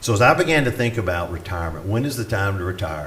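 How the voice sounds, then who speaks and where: Audible room echo and noticeable background noise behind speech with ordinary pitch variation. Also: man. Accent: Southern US. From US South. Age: 60s. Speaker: retired pastor. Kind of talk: conference talk.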